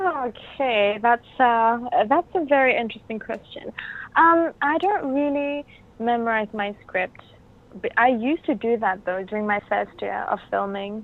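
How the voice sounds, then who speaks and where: A woman speaks with a Bruneian accent at a fairly slow pace. Her voice is fairly high, with lively intonation. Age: 20s. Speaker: actress. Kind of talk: interview. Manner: halting.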